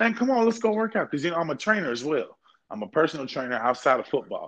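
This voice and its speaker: This man has an American accent. His pitch swings very widely. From Kentucky, US. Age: 20s. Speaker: football coach and podcaster. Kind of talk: casual banter, podcast chat. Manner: loose, boastful, joking.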